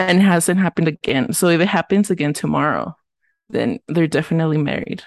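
A woman talks very fast with vocal fry, at a fairly low pitch with ordinary variation. The sound is dry and close, with no echo. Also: very even loudness, quiet background. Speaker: podcast co-host. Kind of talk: casual chat. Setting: at home alone. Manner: loud.

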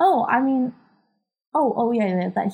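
Somewhat breathy and dark, mellow in tone, a woman speaks at a very fast pace. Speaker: realtor and podcast co-host. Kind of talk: casual chat. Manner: animated.

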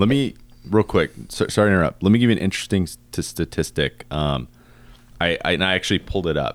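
A man's very deep, low voice with vocal fry, lively intonation and a very fast pace. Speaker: podcast host. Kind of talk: casual interview chat.

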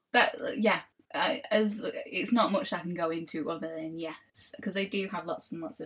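Lively intonation in a Mancunian accent. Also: woman. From Manchester, northern England. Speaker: artist and podcast co-host. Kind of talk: casual chat. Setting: at home in own room.

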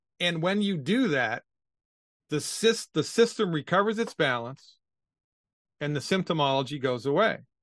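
The sound is dry and close with no echo over a quiet background, and the speaker keeps a moderate pace, swings very widely in pitch, and leaves long, frequent pauses. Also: man, fairly high pitch for a man. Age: 60s. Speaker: naturopathic doctor. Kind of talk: casual interview conversation.

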